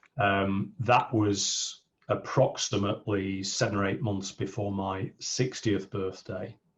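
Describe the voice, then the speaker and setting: Somewhat breathy and pitched fairly low, a man speaks with monotone, flat intonation. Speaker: business coach. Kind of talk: interview.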